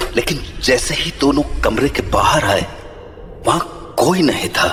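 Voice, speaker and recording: A man puts on a character voice and talks fairly slowly against clear background noise. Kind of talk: horror narration. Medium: audio drama. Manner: measured, suspenseful.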